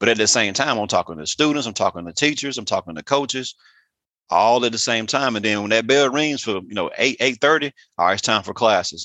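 A man with an Alabama accent, medium pitch, lively intonation and a bright, sharp tone at a fairly quick pace, in a dry, close sound with no echo and a quiet background. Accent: US Southern (Alabama). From southern Alabama (Andalusia). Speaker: high school principal and athletic director. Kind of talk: interview.

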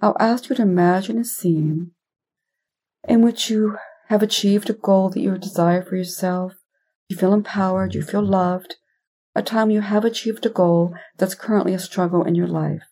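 Speaking at a moderate pace with long, frequent pauses, a woman with a medium pitch and a dark, mellow tone sounds somewhat breathy, her intonation fairly even. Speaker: hypnotherapist podcast host. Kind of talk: guided meditation; scripted intro and recap. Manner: gently paced with long pauses.

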